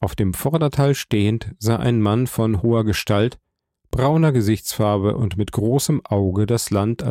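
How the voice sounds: Pitch varies in an ordinary way. It is a natural reading voice over a quiet background.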